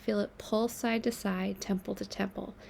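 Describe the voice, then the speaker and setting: Moderate pace, medium pitch and an ordinary speaking voice from a woman. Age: 30s. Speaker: writer and mental health activist. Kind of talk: reading aloud; casual chat.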